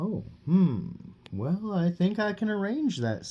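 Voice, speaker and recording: Someone puts on a character voice at a middle pitch, moving at a fairly slow pace. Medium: read story.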